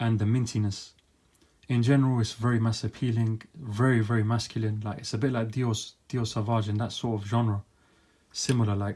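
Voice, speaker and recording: A man's medium-pitched, somewhat breathy voice with a dark, mellow tone and monotone, flat intonation, on a very clean recording with a silent background. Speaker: fragrance reviewer. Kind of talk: product review monologue. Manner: fast.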